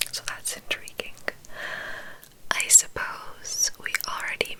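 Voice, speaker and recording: A woman whispers against noticeable background noise. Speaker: ASMR creator. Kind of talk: gameplay commentary in ASMR whisper. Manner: whispered, relaxing.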